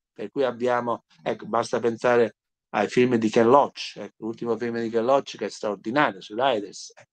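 Pitched at a medium level, a man talks at a moderate pace in a monotone, flat intonation, with big swings in loudness against a quiet background. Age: 70s. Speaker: jurist and former professor; interviewed former law professor. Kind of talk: interview. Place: home room. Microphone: video call.

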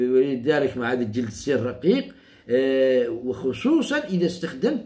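A man talks at a fairly slow pace in a dark, mellow tone. His pitch swings very widely. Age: 60s. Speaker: herbalist. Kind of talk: tutorial. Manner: repetitive, halting. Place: home room. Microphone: phone near.

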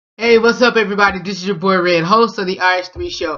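A man speaks with a high pitch. The background is quiet. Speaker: vlog show host. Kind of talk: casual vlog chat. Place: home room. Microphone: webcam.

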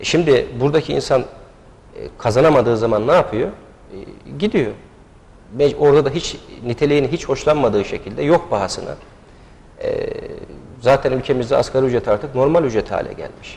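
Breaking his very fast speech with long, frequent pauses, a man sounds somewhat breathy, with ordinary pitch variation. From Niksar, Tokat, Turkey; Tokat, Turkey. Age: 30s. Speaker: candidate, lawyer. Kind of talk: TV interview. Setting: TV studio. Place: studio. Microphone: lapel.

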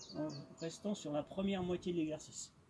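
There is light background noise. A man with a high pitch speaks at a moderate pace. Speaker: fitness instructor. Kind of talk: exercise tutorial instructions. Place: garden. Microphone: camera far.

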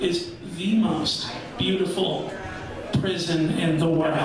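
Strong room echo and noticeable background noise surround a man talking at a very slow pace. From Anchorage, Alaska. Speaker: stand-up comedian. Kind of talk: stand-up comedy set. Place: bar.

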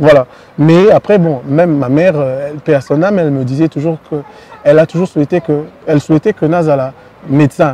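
A man with a fairly high pitch and a plain, everyday voice talks at a moderate pace with fairly even intonation. The sound is dry, with no echo. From DR Congo. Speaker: singer; guest. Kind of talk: interview. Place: street.

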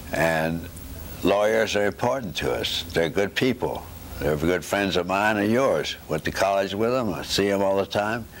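A man with a Southern US accent talks at a fairly low pitch and a moderate pace. His pitch varies in an ordinary way over light background noise. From US South, Knoxville, Tennessee; Tennessee. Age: 80s+. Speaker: retired neurosurgeon and professor. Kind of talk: oral history interview. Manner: halting. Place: home room.

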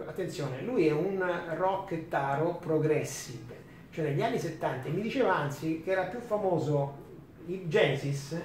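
A man with a high voice talks at a moderate pace with ordinary pitch variation. Light background noise and audible room echo are present. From Rome, Italy; Italy. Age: 50s. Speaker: DJ and author; DJ. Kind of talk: talk to students. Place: classroom.

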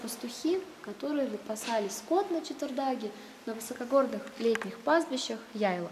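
A woman's high-pitched voice with ordinary pitch variation at a moderate pace, over light background noise. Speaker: cave tour guide. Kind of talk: guided tour explanation. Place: tunnel cave.

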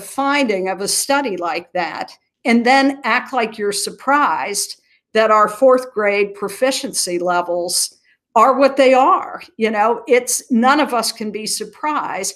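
With an American accent, a woman talks at a fairly slow pace in a fairly high pitch with lively intonation over a quiet background. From US Midwest, southern Ohio (Appalachian foothills); Ohio. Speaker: nonprofit chief executive. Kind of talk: interview. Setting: video call. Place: home room. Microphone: webcam.

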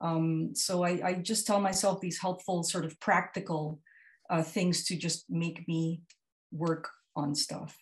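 Her voice is fairly low in pitch and somewhat breathy. The woman talks at a fairly slow pace with fairly even intonation. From Philippines. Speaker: comics artist. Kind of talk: panel discussion. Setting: video call. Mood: reflective, personal. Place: home room. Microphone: earbuds.

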